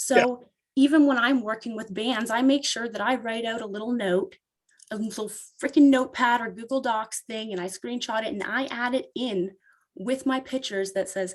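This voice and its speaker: With a Canadian accent and a normal speaking voice, a woman speaks at a moderate pace with fairly high pitch and ordinary pitch variation. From Canada, Ontario. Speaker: photographer. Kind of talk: casual interview. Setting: podcast interview.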